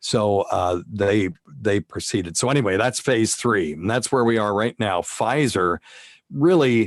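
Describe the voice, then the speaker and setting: A man's fairly low, normal speaking voice, a normal speaking voice, with lively intonation, very even loudness and a fairly slow pace, the sound dry and close with no echo on a very clean recording against a silent background. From US South. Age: 60s. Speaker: physician and radio host. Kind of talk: interview.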